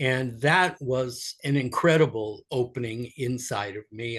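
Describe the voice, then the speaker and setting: A man with an American accent speaks at a very slow pace in a somewhat breathy voice. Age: 70s. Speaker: spiritual teacher. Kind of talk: podcast interview. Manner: halting.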